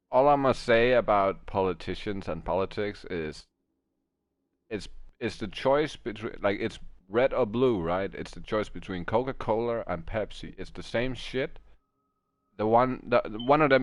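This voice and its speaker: With a Danish accent, a man speaks at a medium pitch and a moderate pace. His loudness swings widely. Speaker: video game streamer. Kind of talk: casual chat. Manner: halting.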